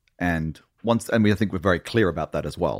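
Recorded very cleanly against a silent background, a man with an English accent talks at a fairly quick pace in a very deep, low pitch. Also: dry, close sound with no echo. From Australia, then England from age nine. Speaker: TV writer and producer. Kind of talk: casual chat.

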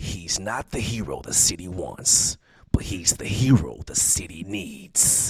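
A man, using a put-on character voice, whispers at a rather slow pace. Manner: dramatic, gravelly-serious.

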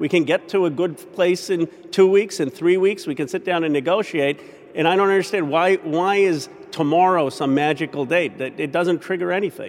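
A man with an American accent speaks in a high pitch at a moderate pace. His intonation stays fairly even. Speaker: congressman. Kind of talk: news interview.

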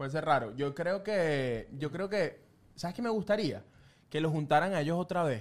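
This man has a fairly high pitch and a Venezuelan accent. He talks at a moderate pace with lively intonation. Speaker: film and pop culture podcast host. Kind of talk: casual chat.

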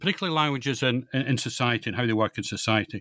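A man with a Scottish accent at a very fast pace, bright, sharp tone, dry, close sound with no echo, and a very clean recording with a silent background. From Scotland, East Central (East Lothian, Fife, Perthshire). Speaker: author, retired biologist. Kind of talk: interview. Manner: halting, many fillers and repetitions.

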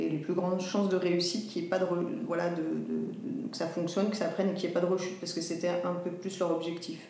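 With noticeable background noise and audible room echo, a woman talks very fast in a fairly low voice with fairly even intonation. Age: 40s. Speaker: social sector worker and leukemia patient. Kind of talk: interview. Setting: hospital room. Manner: halting, many fillers. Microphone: voice muffled by face mask.

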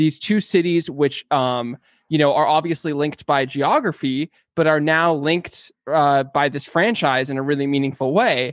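A man with a Californian accent talks at a fairly high pitch, the sound dry and close with no echo. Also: ordinary pitch variation, moderate pace, quiet background. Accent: Californian American. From San Diego, California. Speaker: podcast creator. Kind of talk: interview. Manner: halting, many fillers.

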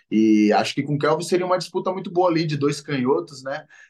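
The man talks with ordinary pitch variation. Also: quiet background. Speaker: MMA fighter. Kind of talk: casual interview.

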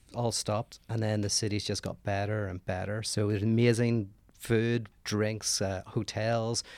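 A man speaks with a Northern Irish accent at a moderate pace. The recording is very clean, with a silent background. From Northern Ireland. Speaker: philosopher. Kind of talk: casual chat.

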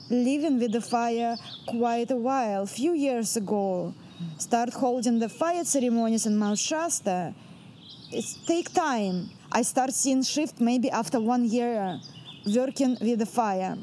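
With a Russian accent, a woman talks at a fairly slow pace in a fairly high pitch with ordinary pitch variation over noticeable background noise. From central Russia. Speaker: shamanic performance artist. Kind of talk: interview monologue.

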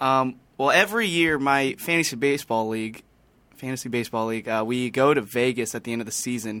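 Very fast talking from a man, medium in pitch, the pitch moving in an ordinary way. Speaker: podcast crew member. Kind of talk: casual chat.

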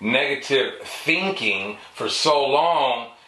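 A man's fairly high voice with noticeable background noise and audible room echo. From San Francisco. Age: 50s. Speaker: interview guest sharing life story. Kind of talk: casual interview, personal testimony. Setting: studio on camera.

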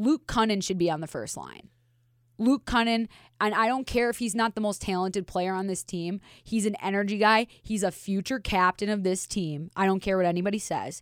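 With an American accent, a woman in a plain, everyday voice talks at a fairly quick pace with medium pitch and ordinary pitch variation, the sound dry and close with no echo in a very clean recording over a silent background. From Minnesota, US. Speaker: hockey analyst, former goaltender. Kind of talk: casual chat.

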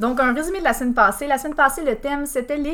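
A woman speaks in a Bas-Saint-Laurent Quebec accent. Her voice sits high in pitch. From Quebec, Bas-Saint-Laurent. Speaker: podcast host, quiz presenter. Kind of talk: game show hosting, reading reviews aloud. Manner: laughing often.

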